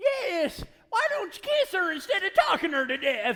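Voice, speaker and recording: Using a put-on character voice, a man speaks at an extremely high pitch with very wide pitch swings and a moderate pace. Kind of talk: live radio play announcer and narration.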